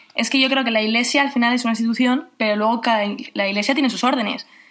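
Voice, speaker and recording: A woman speaks at a high pitch with fairly even intonation. Noticeable background noise is present. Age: 20s. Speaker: university student. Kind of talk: radio interview.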